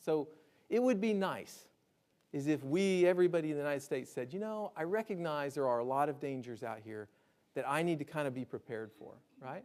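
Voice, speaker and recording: Speaking at a very fast pace, a man with a slight Alabama accent uses a fairly high pitch and lively intonation. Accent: slight Southern (Alabama). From Alabama, US South. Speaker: disaster preparedness speaker. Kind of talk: lecture. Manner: conversational, frequent 'right?' tags.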